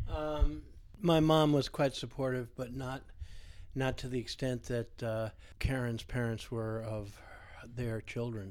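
Recorded very cleanly over a silent background, the speaker goes at a fairly slow pace with long, frequent pauses and ordinary pitch variation. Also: man, medium pitch for a man. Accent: American. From US, Vermont. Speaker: geomancer and dowser. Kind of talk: interview.

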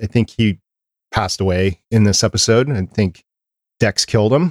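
In a very clean, dry, close recording with a silent background and no echo, a man speaks at a fairly low pitch and a moderate pace with ordinary pitch variation. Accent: Upper Midwest. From Minnesota. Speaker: podcast producer and co-host. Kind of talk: casual chat. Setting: studio, livestreamed.

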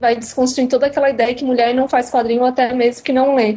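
The speaker is a woman with a high pitch. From Santa Catarina, Brazil (Criciúma). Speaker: comics blogger and design student. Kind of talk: casual interview.

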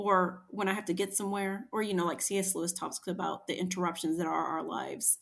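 A woman speaks fairly quickly in a somewhat breathy voice. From US. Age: 40s. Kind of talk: interview conversation.

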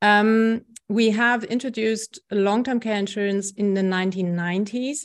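Her intonation stays fairly even as a woman speaks with a German accent. The background is quiet. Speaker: health economics professor. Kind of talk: interview.

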